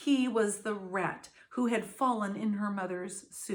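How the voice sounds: This is a natural reading voice. The pitch varies in an ordinary way.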